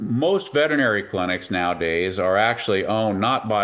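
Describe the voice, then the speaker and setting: At a moderate pace, a man talks with a medium pitch. It is an ordinary speaking voice. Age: 60s. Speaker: veterinarian. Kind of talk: interview.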